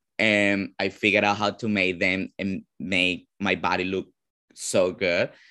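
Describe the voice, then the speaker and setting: A man with a Venezuelan accent speaks at a fairly slow pace in a bright, sharp tone with monotone, flat intonation. The recording is very clean, with a silent background. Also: fairly low pitch for a man. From Venezuela, Caracas. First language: Spanish. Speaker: drag performer. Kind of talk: interview.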